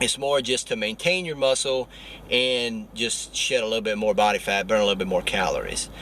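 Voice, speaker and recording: A man's voice over noticeable background noise. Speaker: fitness vlogger. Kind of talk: vlog workout tutorial. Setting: at the gym.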